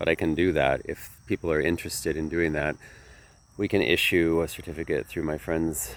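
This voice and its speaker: With a very deep, low pitch and vocal fry, a man speaks at a moderate pace in a fairly even intonation. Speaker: yoga teacher. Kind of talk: casual vlog talk. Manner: halting.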